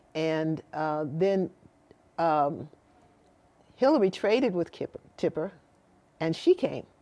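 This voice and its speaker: A woman speaks very slowly in a fairly low voice with a dark, mellow tone. Her pitch rises and falls in an ordinary way. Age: 70s. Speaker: mother of a famous singer. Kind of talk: interview. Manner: halting, with many fillers and restarts.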